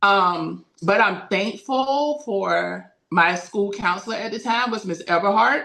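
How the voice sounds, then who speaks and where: Using a bright, sharp tone with vocal fry, a woman with an American accent speaks very slowly at a medium pitch, with ordinary pitch variation and hardly any pauses. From Daytona Beach, Florida, US South. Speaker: school counselor. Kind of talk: interview, personal story. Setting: podcast recording.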